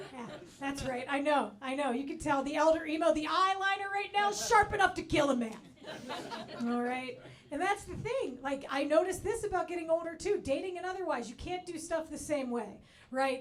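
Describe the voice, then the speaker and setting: In a room with audible echo, a woman speaks at an extremely high pitch, fairly quickly and with lively intonation. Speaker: comedian. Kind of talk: stand-up. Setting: stage with audience.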